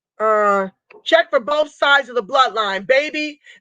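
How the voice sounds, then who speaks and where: In a raised, projected voice with a bright, sharp tone, the speaker talks at a fairly slow pace with lively intonation, the sound dry and close with no echo. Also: woman. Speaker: livestream host and reparations advocate. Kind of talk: live stream chat reading viewer comments. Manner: impassioned, loud.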